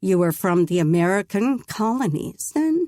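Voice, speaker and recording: Putting on a character voice, a woman speaks at medium pitch and a moderate pace with very wide pitch swings, in a dry, close sound with no echo. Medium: read story. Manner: terse, gruff.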